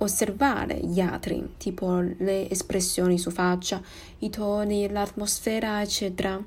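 A woman with a Chinese accent at a very slow pace, somewhat breathy, dark and mellow in tone at a medium pitch. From Taiwan. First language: Mandarin Chinese (speaking Italian). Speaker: podcaster. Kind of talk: personal monologue podcast. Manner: halting.

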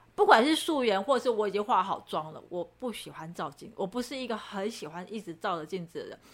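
With a fairly high pitch and lively intonation, a woman talks at a fairly quick pace with hardly any pauses and big swings in loudness, against noticeable background noise. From Taiwan, Chiayi. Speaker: podcast co-host, model. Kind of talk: casual chat. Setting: studio.

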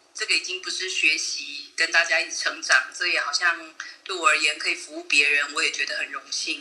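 Noticeable background noise runs behind a woman speaking at a fairly quick pace. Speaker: amateur voice actor and charity administrator. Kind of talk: interview.

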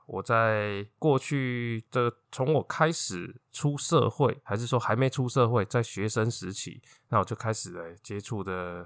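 Very slow but with hardly any pauses, a man speaks at a medium pitch with ordinary pitch variation. The recording is very clean and dry, close, with no echo and a silent background. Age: 40s. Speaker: podcast host. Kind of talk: personal monologue.

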